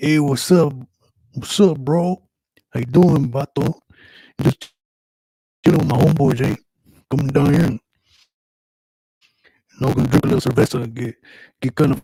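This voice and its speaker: Putting on a character voice, a man speaks at a fairly high pitch with long, frequent pauses. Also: moderate pace, dry, close sound with no echo. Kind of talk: casual slang.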